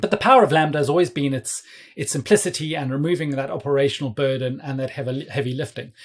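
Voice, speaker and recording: A man talks at a very fast pace. His fairly high pitch shows ordinary variation. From South Africa. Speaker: cloud developer advocate. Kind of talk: casual technical interview.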